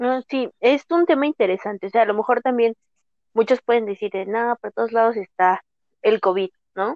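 An ordinary speaking voice from a woman, fairly high in pitch with ordinary variation, at a moderate pace. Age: 20s. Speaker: podcast co-host, IT graduate. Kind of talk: casual chat. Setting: video call.

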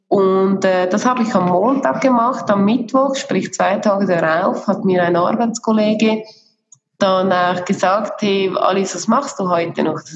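Audible room echo surrounds a woman speaking at a fairly slow pace and medium pitch, with very even loudness and ordinary pitch variation. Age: 30s. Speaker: career coach. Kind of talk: interview.

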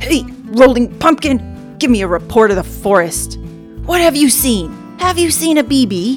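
A growling, put-on character voice moves at a moderate pace. Clear music plays in the background. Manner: growling, menacing.

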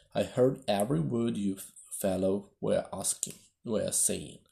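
Hoarse and fairly low, a man puts on a character voice. He speaks at a very slow pace. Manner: feeble, weak.

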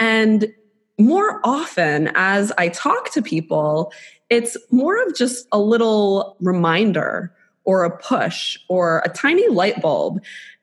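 Somewhat breathy and fairly high in pitch, a woman with an American accent speaks at a very slow pace with very wide pitch swings. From South Florida. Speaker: podcast co-host.

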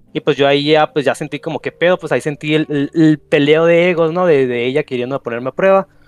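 Very fast and with hardly any pauses, a man with a fairly high pitch talks in fairly even intonation, and the sound is dry and close with no echo. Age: 20s. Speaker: caller. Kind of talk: casual chat. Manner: halting.

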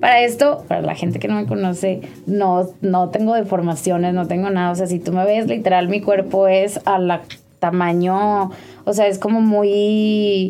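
A woman with a medium pitch speaks fairly slowly and with fairly even intonation over noticeable background noise. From Mexico. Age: 20s. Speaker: image consultant and digital media director. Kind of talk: personal testimony in casual interview.

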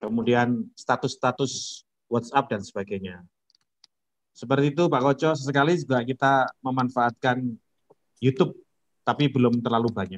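Medium-pitched with ordinary pitch variation, a man talks at a moderate pace. He leaves long, frequent pauses, and the sound is dry and close with no echo. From Indonesia, Lamongan, East Java. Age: 40s. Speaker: village head. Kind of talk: casual interview.

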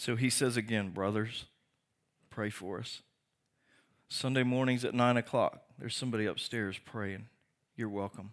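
Medium-pitched male speech at a moderate pace, fairly even in intonation, with long, frequent pauses. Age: 50s. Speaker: pastor. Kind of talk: sermon.

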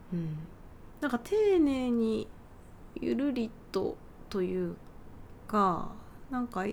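A woman's very slow speech in a relaxed tone, with long, frequent pauses. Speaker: pianist and podcast host. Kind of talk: casual solo talk. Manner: relaxed, leisurely.

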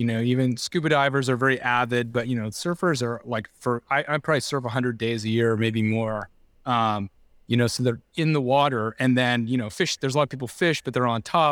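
The speech comes with an American accent at a fairly quick pace. The sound is dry and close, with no echo. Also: man, medium pitch for a man, very clean recording, silent background. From Southern California, Laguna Beach. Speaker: environmental nonprofit leader. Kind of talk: interview.

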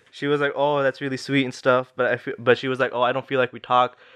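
Here a man talks at a very fast pace in an American accent. His pitch sits in the medium range. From Minnesota, US, and Pakistan. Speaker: podcast guest. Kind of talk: casual chat.

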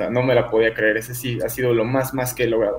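A man's medium-pitched, flat monotone at a very fast pace, over noticeable background noise. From Mexico City. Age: 20s. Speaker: sports content creator. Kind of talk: casual chat.

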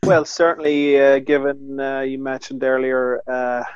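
In a Northern Irish accent, a man with a fairly high pitch speaks at a moderate pace with monotone, flat intonation. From Northern Ireland. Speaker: northern correspondent, co-host. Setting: video call, lying in bed.

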